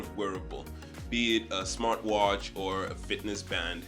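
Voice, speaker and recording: A man's voice with music in the background. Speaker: tech YouTuber. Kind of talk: casual talk to camera.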